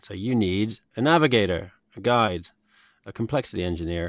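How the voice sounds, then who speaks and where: A man talks at a fairly quick pace with a British accent. His pitch varies in an ordinary way. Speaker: podcast host and company founder. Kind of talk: casual interview conversation. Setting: virtual studio, video call.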